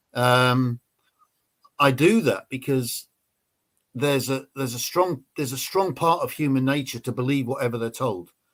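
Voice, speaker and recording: With an English accent, a man at medium pitch speaks with long, frequent pauses. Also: ordinary pitch variation, moderate pace. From England. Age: 60s. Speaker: ex-special forces soldier. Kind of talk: interview.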